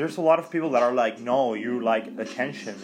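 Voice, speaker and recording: Music sits behind the recording. A man's intonation is lively and his delivery fairly quick. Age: 20s. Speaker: podcast host. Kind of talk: casual monologue. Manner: halting.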